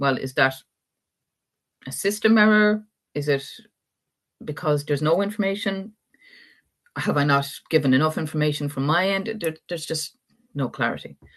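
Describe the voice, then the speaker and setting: In an Irish accent, a woman with a very deep, low pitch speaks with long, frequent pauses. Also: lively intonation, moderate pace, quiet background. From Ireland. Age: 50s. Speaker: adoptee rights activist. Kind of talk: live interview talk.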